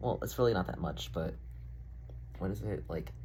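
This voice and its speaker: A man's fairly quick speech with vocal fry and very wide pitch swings, amid audible room echo. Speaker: vlogger. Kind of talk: casual vlog monologue. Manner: casual, filler-heavy.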